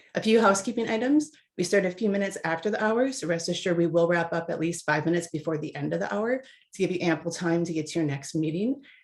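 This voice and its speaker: Barely pausing, a woman talks at a very fast pace with a fairly low pitch, lively intonation and a slight Minnesota accent. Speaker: webinar moderator. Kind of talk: webinar introduction. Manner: upbeat.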